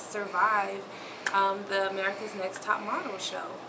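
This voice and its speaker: Through noticeable background noise, a woman speaks at a fairly slow pace. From Memphis, Tennessee. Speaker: aspiring model. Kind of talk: audition tape talk to camera. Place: home room. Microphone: camera far.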